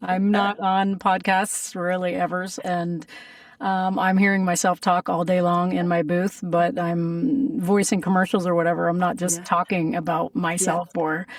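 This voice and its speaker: A woman with a normal speaking voice talks at a moderate pace and medium pitch. Her loudness is very even and her pitch variation ordinary. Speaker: voice actor; singer. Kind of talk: interview answer.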